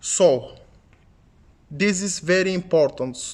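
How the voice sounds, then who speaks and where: A man with a Bulgarian accent speaks at a high pitch. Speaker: English learning youtuber. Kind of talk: tutorial.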